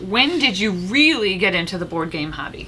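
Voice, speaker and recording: With an American accent, a woman at medium pitch speaks at a moderate pace with lively intonation, over noticeable background noise. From US Midwest, Indianapolis suburb. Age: 30s. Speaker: board game youtuber. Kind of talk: casual chat.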